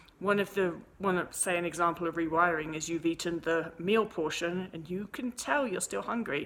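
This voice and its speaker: With an English accent, a woman talks at a moderate pace with hardly any pauses, her fairly low voice showing ordinary pitch variation. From England. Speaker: eating disorder recovery coach. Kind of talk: answering viewer email, advice monologue. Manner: casual, with frequent false starts and self-corrections.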